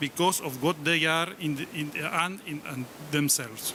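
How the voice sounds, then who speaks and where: With an Argentine accent, a man speaks at a fairly high pitch and ordinary pitch variation. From Argentina. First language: Spanish. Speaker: professor. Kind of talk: conference speech. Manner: halting.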